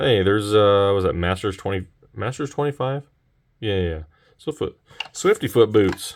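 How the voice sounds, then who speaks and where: The speaker mumbles at a moderate pace. Long pauses come often. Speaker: card collector opening packs. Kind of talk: casual unboxing commentary. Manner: mumbling.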